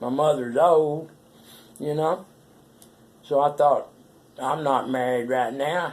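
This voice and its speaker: A man speaks with an American accent in a fairly high pitch. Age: 60s. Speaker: vlogger telling personal story. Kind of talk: personal monologue. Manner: folksy, rambling.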